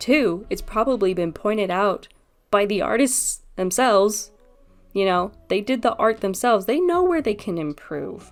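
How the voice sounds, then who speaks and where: Recorded very cleanly against a silent background, a woman with a fairly high pitch speaks at a moderate pace with lively intonation. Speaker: artist and video creator. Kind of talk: commentary monologue. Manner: animated.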